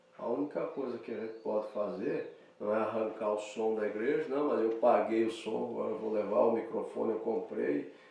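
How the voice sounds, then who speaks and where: A man at a moderate pace with hardly any pauses, amid noticeable background noise and audible room echo. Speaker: pastor. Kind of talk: sermon. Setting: church.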